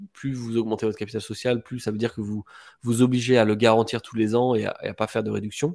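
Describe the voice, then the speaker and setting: A man at a very fast pace in a monotone, flat intonation, on a very clean recording with a silent background. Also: medium pitch for a man. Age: 20s. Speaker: real estate investor and property dealer. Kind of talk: casual interview.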